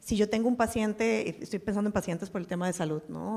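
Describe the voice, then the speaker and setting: The recording is very clean with a silent background. A woman talks fairly quickly with fairly even intonation. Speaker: venture capital investor and former pharma executive. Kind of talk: panel discussion.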